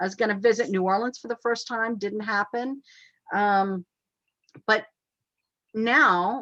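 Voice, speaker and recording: A woman with an American accent speaks at a moderate pace in a bright, sharp tone, her dry, close sound free of echo against a quiet background. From US South, Virginia (Hampton). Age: 60s. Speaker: photographer. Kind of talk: casual chat.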